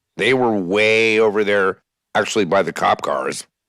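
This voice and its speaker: Loud and at a fairly slow pace, a man speaks with a medium pitch. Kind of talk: casual chat.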